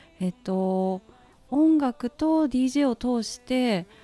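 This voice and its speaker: Her dark, mellow tone swings very widely in pitch as a woman speaks in a dry, close sound with no echo. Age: young. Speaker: DJ and DJ school instructor. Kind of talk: radio interview.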